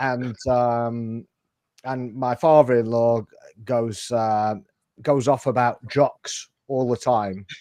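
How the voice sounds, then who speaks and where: A man's dark, mellow, medium-pitched voice in a northern English accent, very slow in pace with fairly even intonation. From northern England. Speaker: football podcast host. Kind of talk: casual chat. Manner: halting.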